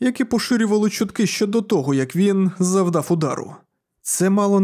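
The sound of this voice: Behind the speech, the background stays quiet. It is an unforced reading voice with ordinary pitch variation.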